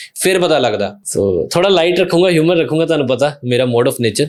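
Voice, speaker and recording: With a Punjabi accent, a man speaks at a moderate pace with lively intonation. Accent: Punjabi-accented Hindi. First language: Punjabi (speaking Hindi). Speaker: podcast host. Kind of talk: casual interview chat.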